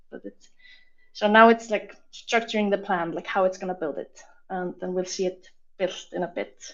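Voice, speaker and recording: Speaking with an Icelandic accent, a woman uses a medium pitch, fairly even intonation and a moderate pace, with big swings in loudness. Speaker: software demo presenter. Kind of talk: live product demo.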